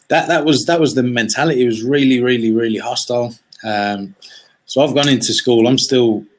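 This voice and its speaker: With an English accent, a man speaks fairly quickly at a medium pitch, his pitch varying in an ordinary way. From West of Ireland, then England from age eight. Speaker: entrepreneur. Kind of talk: interview. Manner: halting, many fillers and repeats; casual.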